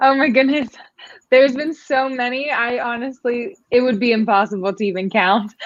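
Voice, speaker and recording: A woman's high-pitched voice holds a moderate pace and shows ordinary pitch variation. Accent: American. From Pennsylvania, US. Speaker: beauty pageant winner. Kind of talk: online interview. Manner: casual, with filler words.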